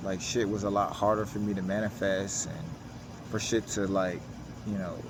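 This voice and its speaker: Audible room echo carries a man's fairly low-pitched voice. He moves at a moderate pace with ordinary pitch variation. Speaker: self-help vlogger. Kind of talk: personal vlog monologue. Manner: casual, informal with filler words.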